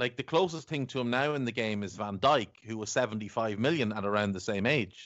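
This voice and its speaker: In an Irish accent, a man talks at a fairly quick pace with hardly any pauses. His pitch is medium, with ordinary variation. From Ireland. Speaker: football podcast host. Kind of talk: casual chat.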